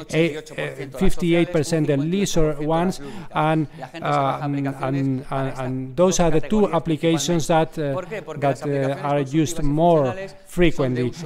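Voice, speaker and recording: A man speaks at a fairly slow pace in a fairly high pitch, his intonation fairly even, with noticeable background noise and audible room echo. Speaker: conference panelist. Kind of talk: conference presentation. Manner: halting.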